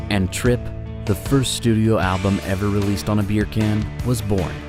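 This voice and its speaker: A man at a fairly low pitch with ordinary pitch variation, music in the background. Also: moderate pace, very even loudness. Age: young. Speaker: voice actor. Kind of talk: marketing campaign case-study narration.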